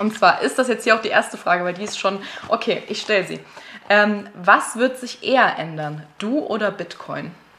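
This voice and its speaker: A woman with a medium pitch and ordinary pitch variation talks at a moderate pace while noticeable background noise continues behind her. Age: 20s. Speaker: host's girlfriend, guest interviewer. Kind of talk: casual chat.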